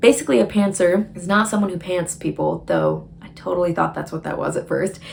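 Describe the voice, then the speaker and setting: Talking fairly quickly with an American accent, the speaker is heard over noticeable background noise. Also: woman. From Michigan, US Midwest. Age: 20s. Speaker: writer and vlogger. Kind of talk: casual vlog talk. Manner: chatty, informal.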